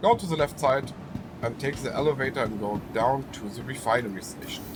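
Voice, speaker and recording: Speaking at a fairly quick pace over noticeable background noise, a man with a strong German accent has a medium pitch and ordinary pitch variation. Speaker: gaming YouTuber. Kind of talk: gameplay tutorial. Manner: halting, many fillers.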